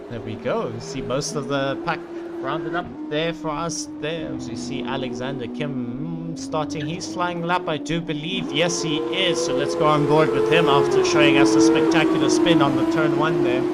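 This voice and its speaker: A man talks at a moderate pace while noticeable background noise and audible room echo fill the recording. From South Africa. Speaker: sim racing commentator. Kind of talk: live commentary.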